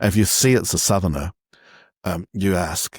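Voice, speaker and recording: A man with a New Zealand accent speaks at a fairly low pitch with ordinary variation. The sound is dry and close with no echo, on a very clean recording with a silent background. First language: Cantonese. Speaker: font designer and magazine publisher. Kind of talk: interview. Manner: halting, many fillers and repetitions.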